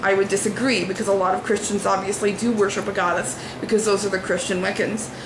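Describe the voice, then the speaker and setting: A woman speaks at medium pitch in a monotone with flat intonation. Audible room echo and noticeable background noise surround her. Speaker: religious vlogger. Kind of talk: video response commentary. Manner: hesitant fillers.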